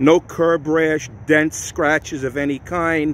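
A man speaks at a fairly slow pace with fairly even intonation, in a dry sound with no echo and light background noise. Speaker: car seller. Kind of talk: sales walkaround narration. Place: street. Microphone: phone near.

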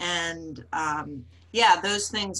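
A woman speaks in a very deep, low voice with a bright, sharp tone. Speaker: community manager and webinar host; webinar host. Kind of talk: webinar moderation. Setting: video call. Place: home room. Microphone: video call.

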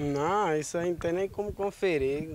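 The sound is dry, with no echo. The pace is fairly slow. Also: man. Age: 20s. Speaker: accused young man; interviewee. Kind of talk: street interview. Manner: halting. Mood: earnest, defensive. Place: street. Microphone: handheld.

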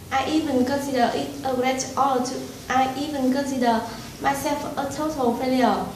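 A woman's high, monotone, flat voice at a moderate pace, with audible room echo and light background noise. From Vietnam. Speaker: English learner giving a speech. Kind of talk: prepared speech / testimonial. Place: classroom. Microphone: camera far.

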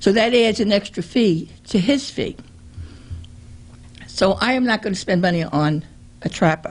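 The voice is somewhat breathy and moves at a moderate pace with lively intonation, broken by long, frequent pauses. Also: woman, medium pitch for a woman. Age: 70s. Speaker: resident speaking at council meeting. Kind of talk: public comment. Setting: city council meeting. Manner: halting.

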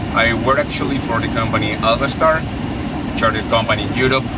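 Loud background noise sits behind a man's voice. The sound is dry, with no echo. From Spain. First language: Spanish. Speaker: airline pilot. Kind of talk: interview. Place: plane. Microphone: camera far.

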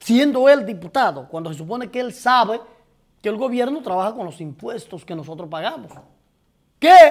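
At a moderate pace, a man with a Dominican accent speaks over a quiet background. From Dominican Republic. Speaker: TV talk show host. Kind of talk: live political commentary with call-ins. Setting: TV studio, live broadcast. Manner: animated, profane and outspoken. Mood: indignant, incredulous. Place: studio.

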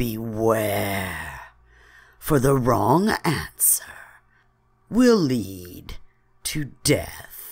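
A raspy, put-on character voice at a low-to-middle pitch moves at a very slow pace with long, frequent pauses, in a very clean recording with a silent background. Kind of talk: horror narration. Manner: soft, ominous warning.

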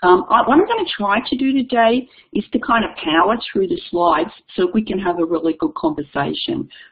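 Speaking with an Australian accent, a woman talks at a moderate pace and a fairly high pitch, with very wide pitch swings. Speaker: education consultant and keynote speaker. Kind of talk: webinar keynote presentation. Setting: online webinar.

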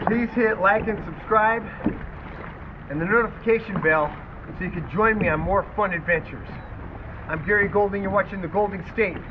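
A man's raised, projected voice with fairly even intonation against noticeable background noise. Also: fairly quick pace. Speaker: outdoor adventure vlogger. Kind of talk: casual vlog outro. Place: boat. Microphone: camera far.

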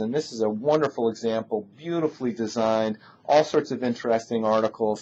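The man's speech moves fairly quickly. Pitch rises and falls in an ordinary way. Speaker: industry analyst. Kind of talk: product review talk. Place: office. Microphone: webcam.

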